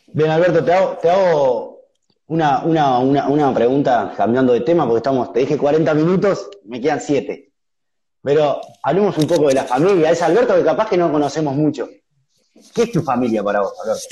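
Speaking at a fairly quick pace, a man has a fairly high pitch and a dark, mellow tone. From Uruguay. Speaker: online interviewer. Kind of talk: interview. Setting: live video call on Instagram. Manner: halting, repeats words. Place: home room. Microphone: studio mic.

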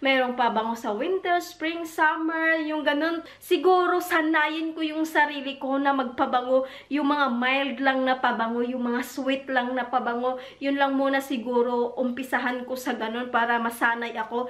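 A woman at a high pitch with ordinary pitch variation, a moderate pace, and hardly any pauses. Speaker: vlogger. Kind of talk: casual vlog chat. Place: home room. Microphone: camera far.

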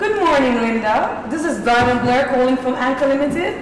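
A woman speaks at a high pitch, with audible room echo and light background noise. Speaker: actor playing call-centre agent. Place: stage. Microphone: headset.

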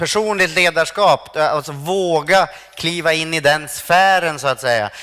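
High-pitched male speech, moderate in tempo and ordinary in its pitch movement. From Sweden. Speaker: stand-up comedian. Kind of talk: lecture. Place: stage. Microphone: headset.

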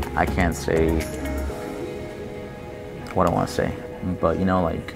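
Over noticeable background noise, a man is talking. He keeps a moderate pace. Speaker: university student. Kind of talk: interview answer. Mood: earnest, determined.

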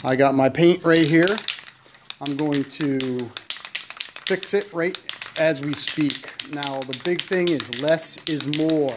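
Through noticeable background noise, a man speaks very slowly with fairly even intonation and long, frequent pauses. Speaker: hobbyist restoring a tractor. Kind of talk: tutorial. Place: garage. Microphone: phone near.

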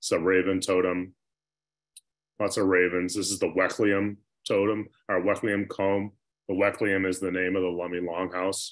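Against a quiet background, a man with a very deep, low pitch talks at a moderate pace in a monotone, flat intonation, leaving long, frequent pauses. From US Pacific Northwest. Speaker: glass artist. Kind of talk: presentation. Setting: video call. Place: home room. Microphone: video call.

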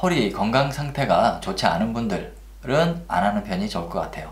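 A man at a moderate pace, his pitch swinging very widely, with audible room echo. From Korea. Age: 40s. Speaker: Uber driver. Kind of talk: casual talk to camera. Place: home room.

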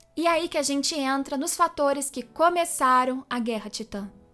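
This woman's voice sits high in pitch. It rises and falls by an ordinary amount. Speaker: YouTuber, anime and manga commentator. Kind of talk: explainer video.

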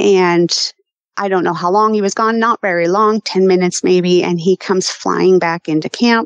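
A woman talks at medium pitch and a moderate pace. She has a normal speaking voice. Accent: American. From Colorado. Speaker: hunter and eyewitness. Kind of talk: personal testimony.

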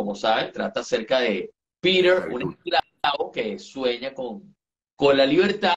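Very wide pitch swings in a man's speaking voice. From Venezuela, eastern (Sucre state). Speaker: entertainment journalist. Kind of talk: casual chat. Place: home room. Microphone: video call.

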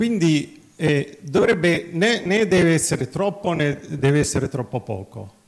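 A man with a fairly high pitch speaks at a fairly slow pace with lively intonation. It is an ordinary speaking voice against a quiet background. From Nazareth; Israel. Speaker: physician, cardiologist and veterinarian; conference speaker. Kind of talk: conference talk. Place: hall.

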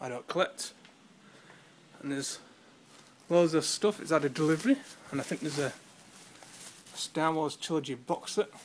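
A man with a Yorkshire accent talks at a moderate pace with ordinary pitch variation. Long, frequent pauses break his speech, and light background noise is present. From Yorkshire, England. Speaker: charity shop volunteer. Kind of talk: casual video tour narration. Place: shop. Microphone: phone near.

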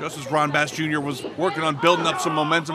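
Man's voice over crowd noise in the background. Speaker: wrestling commentator. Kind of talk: live wrestling commentary, play-by-play call. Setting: outdoors, at ringside before a live crowd.

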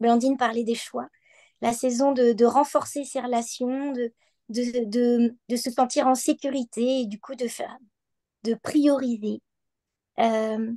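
A woman's high-pitched voice with a dark, mellow tone, monotone and flat, at a very slow pace with long, frequent pauses. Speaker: equine-assisted practitioner. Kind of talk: online panel discussion. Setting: video call from bed.

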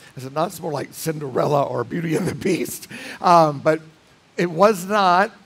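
Speaking at a moderate pace, a man has a high pitch. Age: 60s. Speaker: pastor. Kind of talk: sermon. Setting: church. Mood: relaxed, humorous. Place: church.

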